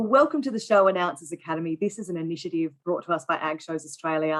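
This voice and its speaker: A woman talks at a fairly quick pace in a plain, everyday voice. Her pitch is fairly low. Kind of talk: interview host talk.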